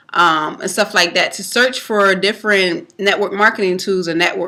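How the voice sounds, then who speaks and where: Loud and at a moderate pace, a woman speaks with fairly even intonation. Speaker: network marketing vlogger. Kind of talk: casual tutorial. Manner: hesitant, many fillers.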